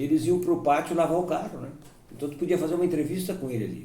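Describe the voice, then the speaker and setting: A dark, mellow voice with vocal fry sounds through audible room echo. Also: man. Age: 70s. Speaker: sports radio broadcaster. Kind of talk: life-story interview. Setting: at home.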